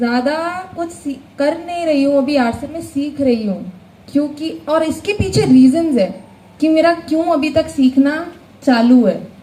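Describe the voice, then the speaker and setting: High-pitched and lively in intonation, a woman speaks. Audible room echo fills the space. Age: 20s. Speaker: motivational speaker at business seminar. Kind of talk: motivational speech. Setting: stage with audience. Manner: animated.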